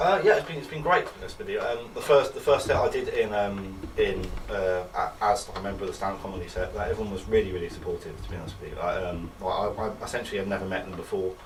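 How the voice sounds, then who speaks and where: A man with an English accent at a very fast pace, hardly any pauses, big swings in loudness and audible room echo. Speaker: student comedian. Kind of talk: interview. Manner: halting.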